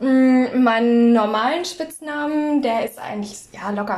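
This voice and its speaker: Noticeable background noise sits under a woman's lively intonation as she talks. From northern Germany, North Frisia. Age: 20s. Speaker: podcast co-host. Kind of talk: casual chat.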